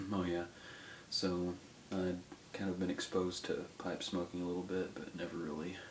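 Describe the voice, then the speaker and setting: Mumbling at a moderate pace, a man with a very deep, low pitch leaves long, frequent pauses. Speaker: pipe smoker. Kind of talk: casual talk to camera. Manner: mumbly, hesitant.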